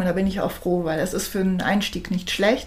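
In a room with audible echo, a woman speaks at a very fast pace with monotone, flat intonation. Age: 50s. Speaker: alternative practitioner. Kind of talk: interview. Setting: in person studio recording.

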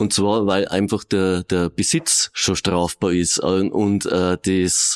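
A man with a very deep, low pitch speaks with fairly even intonation, the sound dry and close with no echo. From Regensburg, Bavaria. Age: 50s. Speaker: police officer. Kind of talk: interview.

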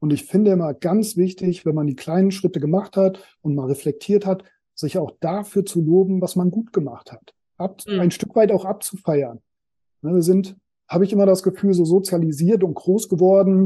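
A man speaks at a moderate pace with a high pitch. His tone is dark and mellow, with ordinary pitch variation. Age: 40s. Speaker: personal development coach. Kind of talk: casual interview.

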